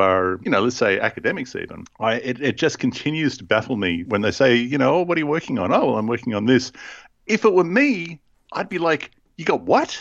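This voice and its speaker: Speaking at a moderate pace with an Australian accent, a man of medium pitch swings his pitch very widely over a quiet background. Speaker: podcast host. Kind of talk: casual chat about scripture.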